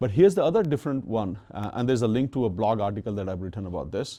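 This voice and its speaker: Against a quiet background, a man with a non-native accent talks at a fairly quick pace in a fairly low pitch with a dark, mellow tone. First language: not English. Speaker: tech executive and speaker. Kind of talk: lecture. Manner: hesitant, many fillers.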